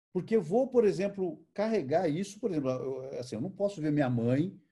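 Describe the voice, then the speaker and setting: A dark, mellow tone with very wide pitch swings at a moderate pace against a quiet background. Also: man. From Brazil, interior of São Paulo state. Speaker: photojournalist. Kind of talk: online conversation, talk. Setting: video call. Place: home room. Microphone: video call.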